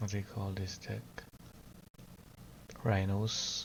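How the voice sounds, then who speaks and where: In a room with audible echo, a man speaks quietly at a fairly low pitch, somewhat breathy and with fairly even intonation. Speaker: card game streamer. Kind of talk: live gameplay commentary.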